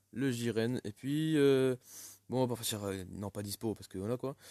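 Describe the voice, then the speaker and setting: A dark, mellow tone with ordinary pitch variation sits in a dry, close sound with no echo, on a very clean recording with a silent background. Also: man. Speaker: gaming YouTuber. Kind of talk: gameplay commentary. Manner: stammering, halting; casual, animated.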